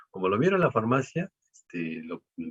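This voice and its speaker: The man speaks at a moderate pace in a dry, close sound with no echo. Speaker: professor. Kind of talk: panel talk. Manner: hesitant, many fillers.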